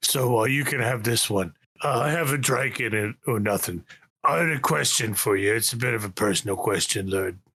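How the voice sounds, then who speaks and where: A man puts on a raspy character voice at a medium pitch. He talks at a fairly quick pace with very even loudness. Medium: actual play. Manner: hesitant, halting, full of fillers.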